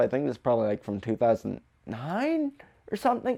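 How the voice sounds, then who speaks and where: A man speaks at a fairly quick pace in a very clean recording with a silent background. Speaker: movie reviewer YouTuber. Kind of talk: casual video monologue. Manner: hesitant, many fillers.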